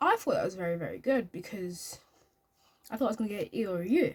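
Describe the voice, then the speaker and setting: A somewhat breathy woman's voice, fairly high in pitch, with lively intonation and a fairly quick pace. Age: young. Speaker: YouTube vlogger and college student. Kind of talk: casual talk to camera. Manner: fast.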